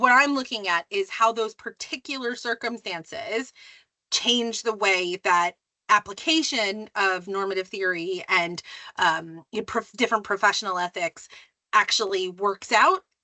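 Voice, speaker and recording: A woman with an American accent and an unremarkable speaking voice talks at a fairly slow pace, her medium pitch carried by lively intonation. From US, New Jersey. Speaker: academic, disaster ethics lecturer. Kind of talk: podcast interview. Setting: podcast. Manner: many fillers (um, like).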